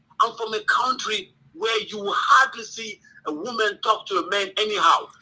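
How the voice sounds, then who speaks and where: Raising and projecting his voice, a man speaks with an African accent. His pitch is high. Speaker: caller. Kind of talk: call-in debate. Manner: hesitant, many fillers.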